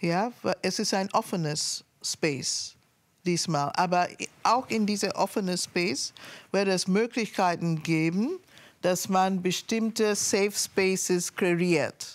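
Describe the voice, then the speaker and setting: The pace is very slow, with ordinary pitch variation. Loudness stays very even throughout. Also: woman. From Sierra Leone. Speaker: artist and activist; guest. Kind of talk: interview talk. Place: studio. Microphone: lapel.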